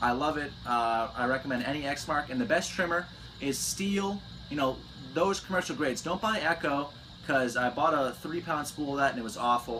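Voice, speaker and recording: With ordinary pitch variation, a man's fairly high voice comes through noticeable background noise. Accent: American. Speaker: landscaping business owner. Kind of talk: Q&A vlog, casual chat. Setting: on vacation in Florida. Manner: fast.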